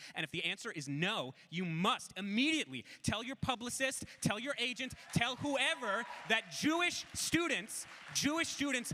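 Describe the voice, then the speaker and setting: A man's raised, projected voice in an American accent, animated in tone with very wide pitch swings, over noticeable background noise. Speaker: student activist. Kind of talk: panel talk. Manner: fast.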